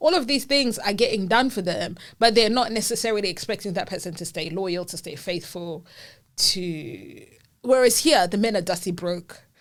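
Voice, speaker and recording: Speaking in a Zimbabwean accent, a woman with a medium pitch sounds animated, with lively intonation, in a very clean recording over a silent background. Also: moderate pace, big swings in loudness. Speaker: podcast co-host. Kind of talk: casual chat.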